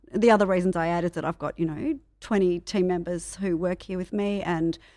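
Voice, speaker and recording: This woman has an Australian accent and a fairly low pitch. Her tone is dark and mellow, and her intonation stays fairly even. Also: very clean recording, silent background. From Australia, Melbourne. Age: 40s. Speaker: PR and marketing business owner. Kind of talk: casual chat. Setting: office meditation room.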